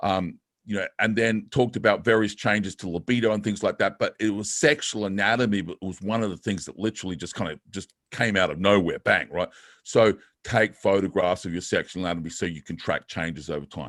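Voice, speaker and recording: Recorded with a dry, close sound and no echo, a man at fairly low pitch talks at a fairly quick pace with ordinary pitch variation. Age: 50s. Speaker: fitness coach. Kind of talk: webinar presentation. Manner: fast.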